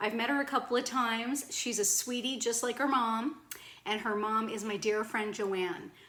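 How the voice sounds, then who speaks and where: Speaking with a Cape Breton accent, a woman with a fairly high pitch talks at a fairly slow pace. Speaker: video blogger. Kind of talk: casual vlog chat.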